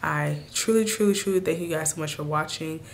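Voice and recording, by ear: A woman speaks at a low pitch with a raspy voice. Vocal fry runs through her delivery.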